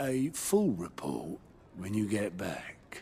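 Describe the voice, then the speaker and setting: Through clear background noise, a man in a put-on character voice talks very slowly at a fairly low pitch with lively intonation. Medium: video game. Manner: wry and jovial.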